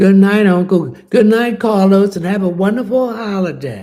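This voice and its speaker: A man with a dark, mellow tone and a somewhat breathy quality speaks at a moderate pace. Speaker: spiritual reader. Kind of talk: livestream chat with viewers. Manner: soft-spoken.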